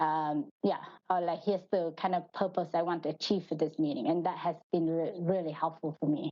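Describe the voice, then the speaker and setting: Talking at a fairly quick pace with hardly any pauses, a woman with a Vietnamese accent has a fairly low pitch, monotone, flat intonation and very even loudness. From Vietnam, Hanoi. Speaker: finance manager. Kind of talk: podcast interview. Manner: halting.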